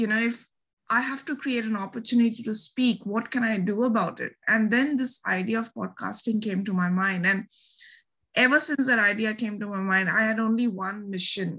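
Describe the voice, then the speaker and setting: This woman speaks in a Bengali accent with a bright, sharp tone. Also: very clean recording, silent background. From India, Delhi. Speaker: podcaster and researcher. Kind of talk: interview.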